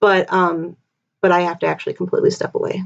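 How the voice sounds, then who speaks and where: A woman talks at a medium pitch. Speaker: legal commentary streamer. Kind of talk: live stream legal discussion. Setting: live stream. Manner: fast; casual, halting with fillers.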